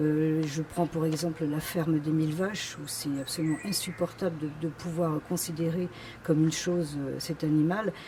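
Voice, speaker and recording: Her voice sits very deep and low for a woman, at a moderate pace. The intonation stays monotone and flat. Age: 60s. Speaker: political candidate. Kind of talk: campaign self-presentation. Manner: hesitant, many fillers.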